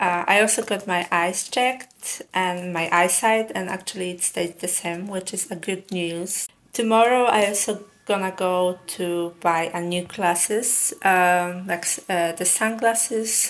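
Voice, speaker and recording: The woman's intonation is fairly even. She talks at a fairly slow pace. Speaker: vlogger. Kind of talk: casual vlog chat. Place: home room.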